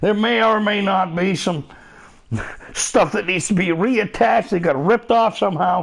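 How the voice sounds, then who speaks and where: Over noticeable background noise, a man talks at a moderate pace in a high pitch with ordinary pitch variation. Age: middle-aged. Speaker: gaming streamer. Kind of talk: live gameplay stream chat. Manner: animated.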